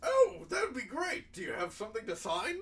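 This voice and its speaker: A man performs a put-on character voice at an extremely high pitch, raised and projected. He talks at a fairly quick pace. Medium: actual play. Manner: eager, effusive, slightly flustered.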